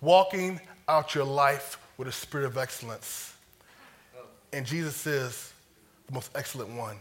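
Long, frequent pauses break up this man's speech. His pitch sits fairly high. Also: ordinary pitch variation. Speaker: preacher. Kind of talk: sermon. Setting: church. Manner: fast talker.

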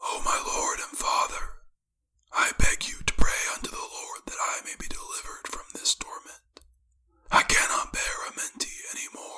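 A put-on character voice comes out as a hoarse whisper. It moves at a moderate pace. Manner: weeping, beseeching, pleading.

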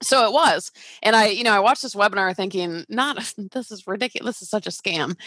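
A woman with an American accent speaks at a very fast pace and medium pitch, in a bright, sharp tone. Her intonation is lively, with big swings in loudness, in a dry, close sound with no echo. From US South, Georgia (Atlanta). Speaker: real estate investor and coach. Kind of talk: casual interview.

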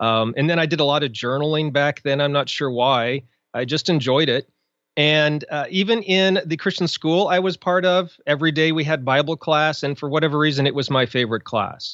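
This man has an unremarkable speaking voice, fairly high in pitch and delivered at a fairly quick pace. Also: ordinary pitch variation. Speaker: blogger, author and podcaster. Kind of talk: casual interview chat.

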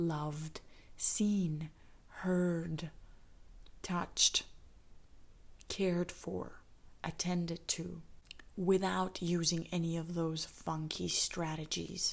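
A woman with a Canadian accent speaks at a fairly low pitch in a monotone, flat intonation. Her pace is very slow, with long, frequent pauses. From Canada, Saskatoon, Saskatchewan. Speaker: podcast host, healing coach. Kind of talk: solo podcast monologue.

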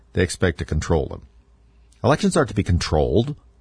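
Over a quiet background, a man talks at a fairly quick pace in a very deep, low, somewhat breathy voice. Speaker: radio host. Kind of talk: political talk radio monologue. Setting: radio studio broadcast.

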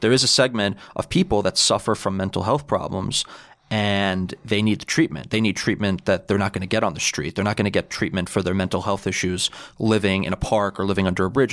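Over a silent background in a very clean recording, a man with a New York accent talks very fast at a fairly low pitch with ordinary pitch variation. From New York City (Bayside, Queens). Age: 20s. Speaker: political club president. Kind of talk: casual interview.

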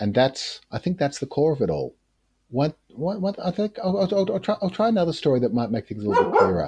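In an Australian accent, a man talks at a fairly quick pace with very wide pitch swings. His tone is dark and mellow, and the sound is dry and close with no echo. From rural Australia. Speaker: practicing magician and occultist. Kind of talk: casual interview. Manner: hesitant, with fillers.

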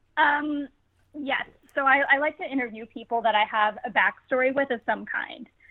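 A woman with a plain, everyday voice and ordinary pitch variation. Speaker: comedian and actress. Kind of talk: casual interview. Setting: remote call from home.

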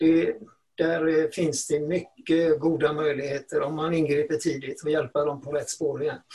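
Fairly high in pitch yet dark and mellow in tone, a man speaks at a moderate pace with monotone, flat intonation. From Sweden, Gothenburg. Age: old. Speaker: retired teacher and education journalist. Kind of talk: podcast interview.

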